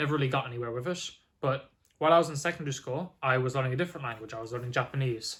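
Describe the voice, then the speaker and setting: With an Irish accent, a man talks at a very fast pace in a medium pitch, with ordinary pitch variation. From Ireland. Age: 20s. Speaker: language learner vlogger. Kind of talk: casual vlog monologue. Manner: casual with filler words.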